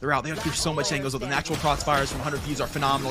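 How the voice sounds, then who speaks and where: Fairly high in pitch and energetic in tone, a man speaks over noticeable background noise. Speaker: esports play-by-play caster. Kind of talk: live esports match commentary. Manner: fast, energetic play-by-play delivery.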